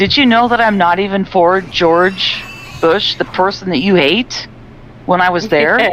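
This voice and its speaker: Over noticeable background noise, a woman with an American accent speaks fairly slowly at a medium pitch, with ordinary pitch variation and very even loudness. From United States. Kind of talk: casual chat.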